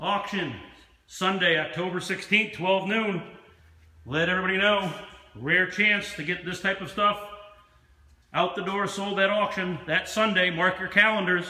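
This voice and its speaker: A man with an American accent speaks in a raised, projected, high voice at a moderate pace with fairly even intonation. Long, frequent pauses break up his speech, and room echo is audible. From Pennsylvania, USA. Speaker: auctioneer. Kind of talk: auction promotional announcement to camera. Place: shop. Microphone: phone near.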